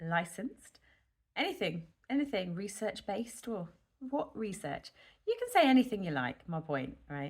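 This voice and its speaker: A woman speaks with a British accent, somewhat breathy. Her pitch swings very widely. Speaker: nurse and health vlogger. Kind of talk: casual vlog monologue. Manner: slow, rambling; hesitant with many fillers.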